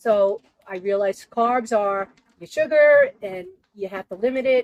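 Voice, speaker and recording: A woman is speaking. Her intonation is lively. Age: 60s. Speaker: weight loss story guest. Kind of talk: personal testimony and tips. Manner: casual, conversational.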